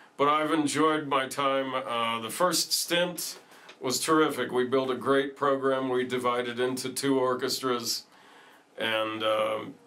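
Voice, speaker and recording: A man's medium-pitched voice at a fairly slow pace with fairly even intonation, audible room echo and noticeable background noise. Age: 60s. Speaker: retiring orchestra teacher. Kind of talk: interview.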